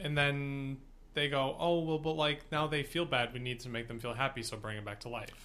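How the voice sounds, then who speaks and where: There is noticeable background noise behind this man. He has a fairly high pitch with ordinary pitch variation. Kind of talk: casual chat. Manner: slow and careful when improvising.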